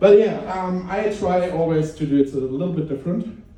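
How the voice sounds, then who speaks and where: With audible room echo, a man speaks in a German accent at a moderate pace, with ordinary pitch variation. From Germany. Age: middle-aged. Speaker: stand-up comedian. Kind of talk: stand-up. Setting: stage with audience. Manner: halting.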